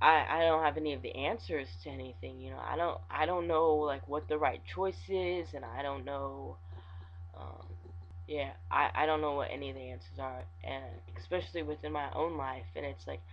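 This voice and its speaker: In an American accent, a man with a very deep, low pitch makes very wide pitch swings and big swings in loudness amid audible room echo. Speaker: vlogger. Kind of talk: video diary. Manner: halting; kept lower than usual.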